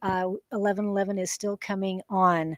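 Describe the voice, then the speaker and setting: A woman speaks at a medium pitch in a monotone, flat intonation. The sound is dry and close, with no echo. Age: 60s. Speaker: psychic reader. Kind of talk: casual talk to camera.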